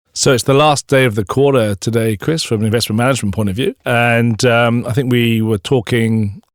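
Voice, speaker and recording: With a Welsh accent, a man talks at a very fast pace with ordinary pitch variation, in a dry, close sound with no echo. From Wales. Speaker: podcast host, bank investment staff. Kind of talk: casual podcast chat. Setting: studio.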